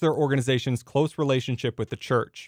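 A plain, everyday voice from a man, medium in pitch with ordinary pitch variation and a fairly quick pace, dry and close with no echo, on a very clean recording with a silent background. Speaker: radio reporter. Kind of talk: scripted radio news report.

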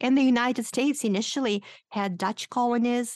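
A woman speaks with a Romanian accent and ordinary pitch variation. The background is quiet. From Moldova. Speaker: linguistics professor and author. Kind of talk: radio interview, explanatory conversation.

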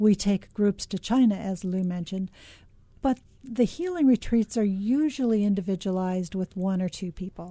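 A woman with an American accent speaks at a moderate pace in a medium pitch, her somewhat breathy voice carrying a dark, mellow tone in a dry, close recording with no echo. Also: ordinary pitch variation, quiet background. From US West Coast, Los Angeles. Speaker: oncology nurse, retreat center founder. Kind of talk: radio interview. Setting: radio studio.

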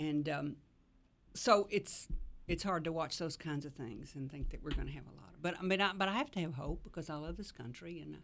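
A woman speaks with a Southern US accent in a very deep, low pitch. Her pace is fairly quick, and her pitch varies in an ordinary way. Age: old. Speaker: civil rights activist. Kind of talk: radio panel discussion.

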